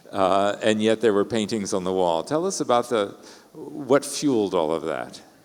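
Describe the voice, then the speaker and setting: A man with an American accent speaks at a fairly low pitch, his intonation lively. Noticeable background noise runs under the clip. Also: moderate pace. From Texas, Houston. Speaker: interviewer. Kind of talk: onstage conversation.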